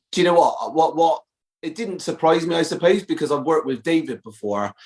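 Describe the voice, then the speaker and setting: With a Bristol accent, a high-pitched man speaks at a fairly quick pace with lively intonation. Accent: Bristolian West Country. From Bristol, southwest England. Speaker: actor. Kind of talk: podcast interview. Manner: halting, many fillers.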